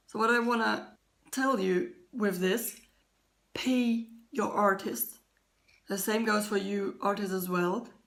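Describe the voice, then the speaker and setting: At a very slow pace and with long, frequent pauses, a woman speaks at a fairly high pitch with ordinary pitch variation. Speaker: artist vlogger. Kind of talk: casual vlog. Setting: home kitchen.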